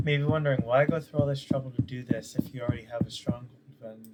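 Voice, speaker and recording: Noticeable background noise sits under the voice. The speaker is soft-spoken. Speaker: gaming video creator. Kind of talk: casual gameplay commentary. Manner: soft-spoken, quiet; hesitant, many fillers.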